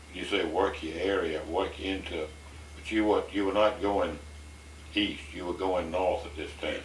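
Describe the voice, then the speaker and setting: A man with a very deep, low pitch talks at a fairly slow pace. His intonation stays fairly even over noticeable background noise. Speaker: oral history interviewer.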